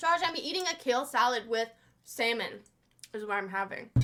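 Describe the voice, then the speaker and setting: Raised and projected, a woman's voice carries a bright, sharp tone and very wide pitch swings. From Quebec, Montreal. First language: French. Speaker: streamer. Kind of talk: casual reaction stream. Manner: loud; animated.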